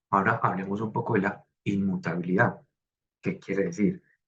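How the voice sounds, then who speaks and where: Ordinary pitch variation in a man's fairly low voice. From Colombia, coffee region. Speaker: design student. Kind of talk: class presentation. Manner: hesitant, many fillers.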